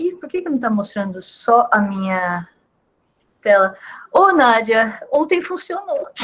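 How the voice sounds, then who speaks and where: Pausing long and often, a woman talks at a very slow pace, her pitch swinging very widely and her loudness shifting greatly. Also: fairly high pitch for a woman. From Brazil. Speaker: physicist, invited colloquium speaker. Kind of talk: casual setup chat before talk; academic lecture (colloquium talk). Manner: halting, many repetitions.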